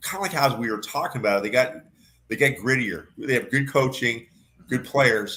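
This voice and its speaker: A man's voice at medium pitch, fairly quick in pace, with ordinary pitch variation. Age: 60s. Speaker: football leadership coach. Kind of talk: casual chat. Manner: animated.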